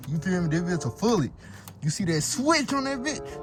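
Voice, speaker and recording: A man speaks loudly at a high pitch, his voice swinging very widely in pitch. Noticeable background noise is present. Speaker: YouTuber, car content creator. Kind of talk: comedic skit vlog. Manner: animated.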